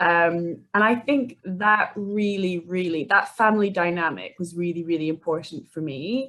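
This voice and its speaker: At a fairly slow pace, a woman speaks with a Scottish accent. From Scotland, Edinburgh. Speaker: life coach. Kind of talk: podcast interview.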